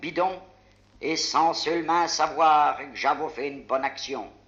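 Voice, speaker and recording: A man with a Picardy accent speaks very slowly in a high voice with monotone, flat intonation. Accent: Picard dialect. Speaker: dialect poet. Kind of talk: poetry reading.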